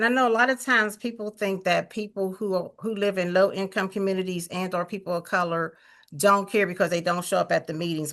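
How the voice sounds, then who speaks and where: Against a quiet background, a woman speaks at a fairly quick pace with a medium pitch and ordinary pitch variation. Her tone is bright and sharp. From Pittsburgh, Pennsylvania. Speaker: community activist. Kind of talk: town hall comment.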